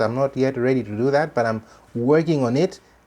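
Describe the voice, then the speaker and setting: A man talks at a medium pitch with ordinary pitch variation, with a Malawian accent. The background is quiet. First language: Chichewa. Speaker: religious commentator. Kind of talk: commentary monologue. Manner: halting, many repetitions and fillers.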